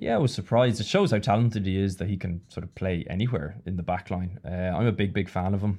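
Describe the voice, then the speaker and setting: A man with an Irish accent, fairly low-pitched with a dark, mellow tone, very fast with hardly any pauses and ordinary pitch variation. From Ireland. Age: 30s. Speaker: former professional rugby player. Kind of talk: casual chat. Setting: studio.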